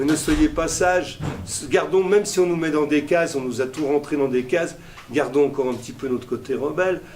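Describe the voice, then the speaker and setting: The speaker goes at a moderate pace with ordinary pitch variation over noticeable background noise. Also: man. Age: 60s. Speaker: festival director. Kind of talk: interview. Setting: at a festival.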